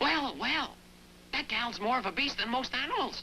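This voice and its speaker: A cartoonish character voice with a high pitch speaks at a moderate pace over clear background noise. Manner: cranky.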